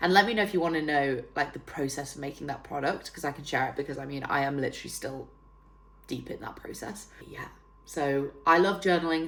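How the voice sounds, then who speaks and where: A woman with a very deep, low pitch and a northern English accent, animated in tone, with big swings in loudness, ordinary pitch variation and a moderate pace. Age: 30s. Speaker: fitness trainer and self-development YouTuber. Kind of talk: casual vlog tutorial. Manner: chatty, animated.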